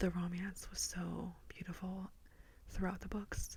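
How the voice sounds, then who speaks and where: Soft-spoken, a woman talks at a very slow pace. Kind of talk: ASMR book review wrap-up talking to camera. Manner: soft-spoken, relaxing.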